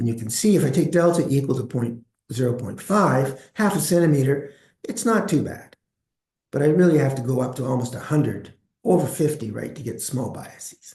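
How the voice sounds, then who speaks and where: A man's fairly high, somewhat breathy voice with a dark, mellow tone, lively intonation, a fairly quick pace and big swings in loudness. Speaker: statistics professor. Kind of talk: lecture. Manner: fast.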